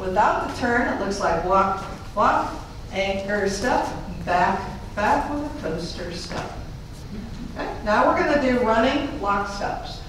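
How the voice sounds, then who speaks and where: Fairly slow speech with long, frequent pauses, strong room echo, and light background noise. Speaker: fitness instructor. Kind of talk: live line dance class teaching, step-by-step instruction. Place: hall.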